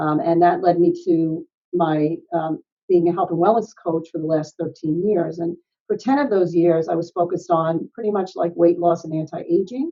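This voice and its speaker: This is an ordinary speaking voice. The pitch varies an ordinary amount. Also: woman, fairly low pitch for a woman, moderate pace. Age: 60s. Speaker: health and wellness coach. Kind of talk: interview. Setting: podcast.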